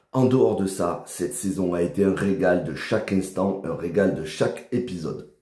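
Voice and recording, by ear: Using a put-on character voice, a man speaks at a moderate pace with a very deep, low pitch and a hoarse sound, with audible echo.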